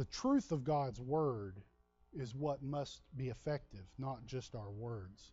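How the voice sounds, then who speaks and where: A man's medium-pitched, somewhat breathy voice at a very slow pace, with lively intonation. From Texas. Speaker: pastor. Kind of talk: sermon. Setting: church.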